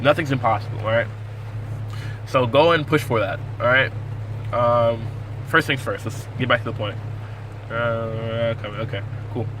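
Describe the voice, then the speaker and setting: Against noticeable background noise, a man talks at a fairly quick pace and medium pitch. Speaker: navy sailor and cook. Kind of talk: casual vlog tutorial. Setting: in a car. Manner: fast.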